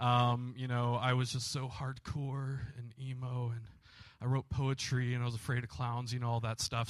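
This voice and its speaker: Against a quiet background, a man talks at a moderate pace in a bright, sharp tone. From Michigan (Grand Rapids), moved to Kentucky at 12-13. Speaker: pastor. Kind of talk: testimony. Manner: casual, hesitant with many fillers.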